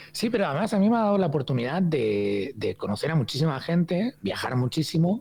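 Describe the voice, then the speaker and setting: A man talks at a fairly quick pace with hardly any pauses, his fairly high pitch swinging very widely. Noticeable background noise runs underneath. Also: very even loudness. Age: 50s. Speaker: hospitality consultant and trainer. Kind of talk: podcast interview. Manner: hesitant, many fillers and repetitions.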